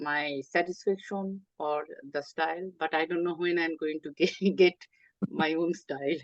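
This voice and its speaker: Speaking with a Bengali accent, a woman goes at a fairly slow pace and fairly low pitch with ordinary pitch variation, in a dry, close sound with no echo. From Bangladesh (Chittagong). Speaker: artist and writer. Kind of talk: interview. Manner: hesitant, with many fillers.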